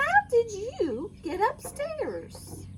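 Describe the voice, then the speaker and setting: A woman puts on a squeaky character voice at an extremely high pitch, with very wide pitch swings and clear background noise behind her. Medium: read story.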